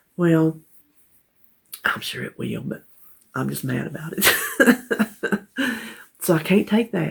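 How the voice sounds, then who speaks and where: In a Southern US accent, a woman talks at a moderate pace. Vocal fry runs through her voice. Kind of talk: casual talk to camera.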